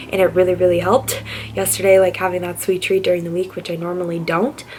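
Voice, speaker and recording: Over noticeable background noise, a woman talks at a very fast pace and medium pitch. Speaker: nursing student vlogger. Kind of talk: casual vlog talk to camera.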